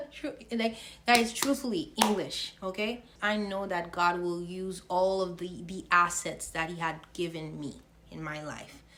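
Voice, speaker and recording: Bright and sharp in tone, a woman at medium pitch speaks at a fairly slow pace with ordinary pitch variation and big swings in loudness. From Haiti. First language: French and Haitian Creole. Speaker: faith vlogger. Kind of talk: casual faith vlog monologue. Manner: halting, stumbles over words.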